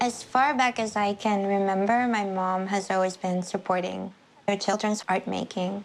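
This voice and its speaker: A woman speaks with a Spanish accent at a medium pitch. Her pace is moderate and her intonation fairly even. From Puerto Rico. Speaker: sculptor. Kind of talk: documentary interview.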